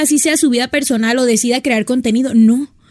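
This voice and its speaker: A woman at a very fast pace, with a dry, close sound and no echo. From Sonora, northern Mexico. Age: 20s. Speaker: fashion influencer. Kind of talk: casual chat.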